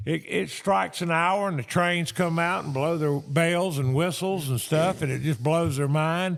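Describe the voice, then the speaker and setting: A man at a fairly high pitch and fairly slow pace, on a very clean recording with a silent background. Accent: North Carolina. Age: 70s. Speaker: antiques dealer. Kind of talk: storytelling. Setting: auction gallery. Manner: loud.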